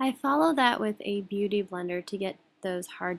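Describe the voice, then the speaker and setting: Soft-spoken, a woman talks at a moderate pace. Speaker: beauty vlogger. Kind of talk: tutorial. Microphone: quiet audio.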